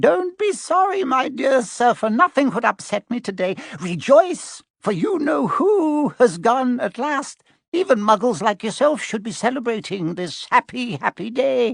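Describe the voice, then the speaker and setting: A man's squeaky, put-on character voice at an extremely high pitch, with very wide pitch swings, a moderate pace, and a dry, close sound with no echo. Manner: gleeful, delighted.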